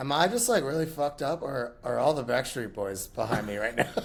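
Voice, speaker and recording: Doing a raspy, put-on character voice, a man talks at a medium pitch and fairly quick pace over light background noise. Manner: casual, excited.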